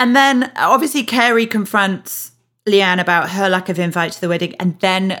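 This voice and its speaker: With a Yorkshire accent, a woman speaks at a moderate pace and medium pitch, her tone bright and sharp and her intonation lively, in a very clean recording with a silent background. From Yorkshire, England. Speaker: podcast host. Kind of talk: casual chat.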